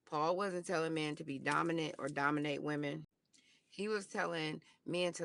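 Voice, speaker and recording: In a quiet setting, a woman speaks at a moderate pace with a very deep, low voice. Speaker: podcast host. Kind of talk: casual monologue podcast.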